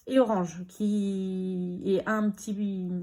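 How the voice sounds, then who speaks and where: A woman speaks at a medium pitch with a somewhat breathy quality and fairly even intonation. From Normandy, France. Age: 30s. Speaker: budgeting vlogger. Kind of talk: casual chat.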